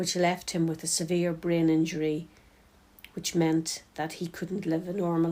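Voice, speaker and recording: Her voice fairly low, dark and mellow, a woman with a Northern Irish accent speaks in a monotone with flat intonation on a very clean recording with a silent background. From County Tyrone, Northern Ireland. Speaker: peace and reconciliation worker. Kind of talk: personal reflection.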